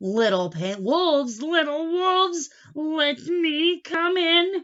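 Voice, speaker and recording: In a put-on character voice, the speaker goes at a very slow pace. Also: woman, extremely high pitch for a woman. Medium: read story. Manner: grunting, threatening.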